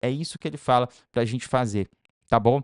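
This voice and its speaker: A man speaks at a fairly quick pace. The sound is dry and close with no echo, and the background is quiet. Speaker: paid ads consultant. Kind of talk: tutorial. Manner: very fast.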